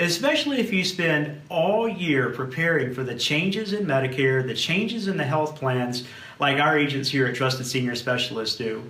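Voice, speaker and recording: A man with a fairly high pitch speaks with hardly any pauses, amid noticeable background noise and audible room echo. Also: lively intonation. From South Louisiana. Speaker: insurance agency manager. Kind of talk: webinar presentation. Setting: video recording with camera operator.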